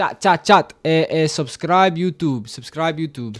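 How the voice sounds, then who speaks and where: A man speaks with a Spanish accent. His voice sits at a fairly high pitch. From Mexican heritage. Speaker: video game streamer. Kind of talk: live gaming stream. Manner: animated, repetitive; fast. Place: home room. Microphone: headset.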